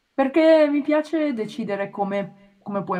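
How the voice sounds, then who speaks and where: A somewhat breathy woman's voice. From Italy, Milan. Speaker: animator. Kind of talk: casual chat. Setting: remote call.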